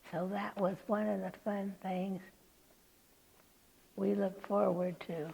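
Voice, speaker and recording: A woman with an American accent and medium pitch speaks at a very slow pace, somewhat breathy, in a dark, mellow tone with fairly even intonation and long, frequent pauses. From California, USA. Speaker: oral history interviewee, retired nurse. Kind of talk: oral history interview answer, reminiscing.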